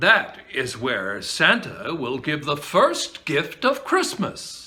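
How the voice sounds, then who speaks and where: A man puts on a put-on character voice. He speaks at a very slow pace. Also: fairly high pitch for a man. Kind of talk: bedtime story. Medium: read story. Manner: friendly, assured.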